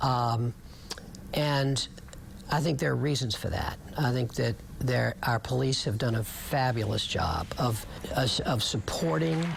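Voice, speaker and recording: A man talks at a medium pitch, varying it in an ordinary way, while noticeable background noise plays behind him. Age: 60s. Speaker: city mayor. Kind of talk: news interview. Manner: hesitant, with filler words.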